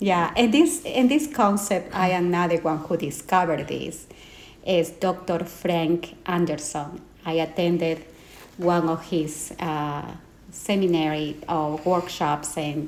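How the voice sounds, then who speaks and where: Speaking at a very slow pace, a woman with a Peruvian accent has a fairly low pitch and ordinary pitch variation. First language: Spanish. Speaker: life and trauma coach. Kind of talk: interview. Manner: hesitant with fillers.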